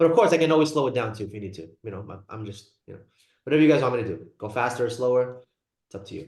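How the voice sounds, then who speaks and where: Somewhat breathy and at medium pitch, a man races along at a very fast pace with lively intonation and big swings in loudness. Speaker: psychiatry lecturer, nurse practitioner. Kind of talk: lecture. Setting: video call.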